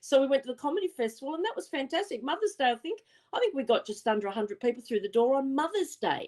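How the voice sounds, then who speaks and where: Speaking at a very fast pace with an Australian accent, a woman uses a high pitch with very wide pitch swings. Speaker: psychic medium. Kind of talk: casual chat.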